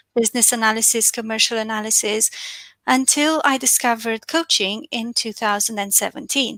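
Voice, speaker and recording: The speaker has a Romanian accent and a bright, sharp tone with fairly even intonation. The sound is dry and close, with no echo. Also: woman. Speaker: financial and business coach. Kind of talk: webinar talk.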